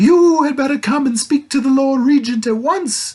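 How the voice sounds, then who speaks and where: A high pitch defines this voice. It is a put-on character voice. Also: moderate pace. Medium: read story. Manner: hooting, sleepy and muddled.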